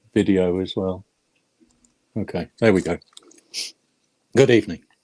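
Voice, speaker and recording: A dark, mellow voice with a British accent moves at a moderate pace with fairly even intonation, recorded dry and close with no echo. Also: man, very deep, low pitch for a man. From England. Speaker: metal detectorist. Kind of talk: interview. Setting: video call.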